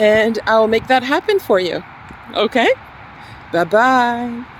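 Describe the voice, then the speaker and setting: Noticeable background noise sits under a woman's high-pitched voice. She speaks fairly slowly with ordinary pitch variation. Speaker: English teacher. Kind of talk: tutorial.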